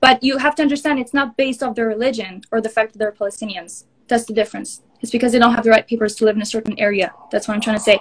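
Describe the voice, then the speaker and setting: A woman with an Israeli accent talks at a very fast pace in a fairly high pitch with fairly even intonation. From northern Israel. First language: Hebrew. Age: 20s. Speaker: social media influencer. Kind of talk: heated debate. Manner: halting.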